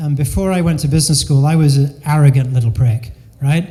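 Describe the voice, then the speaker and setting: A man talks at a fairly quick pace. His fairly high pitch shows ordinary variation. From England, raised mostly in the US (Delaware). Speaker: business consultant and keynote speaker. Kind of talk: keynote talk. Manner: casual, conversational.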